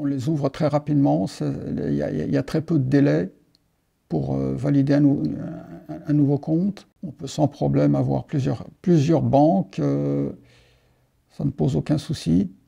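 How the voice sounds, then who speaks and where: Long, frequent pauses break up this man's speech. He talks at a fairly slow pace. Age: 60s. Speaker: expat client giving a testimonial. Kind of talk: testimony. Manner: halting, many repetitions.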